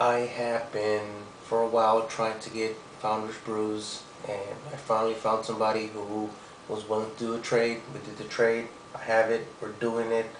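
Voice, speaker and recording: A man of medium pitch speaks at a moderate pace in a monotone, flat way. Audible room echo and noticeable background noise are present. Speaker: beer reviewer. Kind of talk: product review. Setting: home at night. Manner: whispering; hesitant, many fillers.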